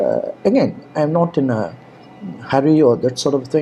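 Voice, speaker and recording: A man speaks with an Indian accent. Music plays in the background. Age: 70s. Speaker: online course instructor. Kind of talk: course introduction talk. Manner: halting, many fillers.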